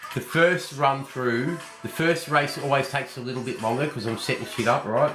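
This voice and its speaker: Amid audible room echo and noticeable background noise, a man with a fairly high pitch talks at a moderate pace with ordinary pitch variation. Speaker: horse racing tipster. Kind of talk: live stream form analysis. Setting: live stream late at night. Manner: casual, brash.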